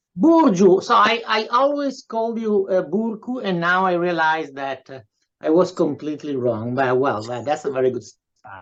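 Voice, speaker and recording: The pitch swings very widely. Loudness also rises and falls a great deal. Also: man, high pitch for a man, moderate pace. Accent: Italian. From Italy. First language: Italian. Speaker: professor and writer. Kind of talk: interview introduction. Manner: halting, many fillers.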